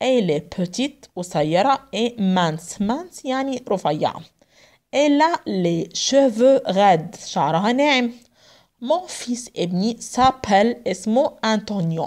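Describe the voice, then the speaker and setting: Her fairly high voice swinging very widely in pitch, a woman talks at a fairly slow pace over a quiet background. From Egypt. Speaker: French language teacher; French teacher. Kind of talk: lecture. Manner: mixes Arabic and French, translating phrase by phrase. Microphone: phone near.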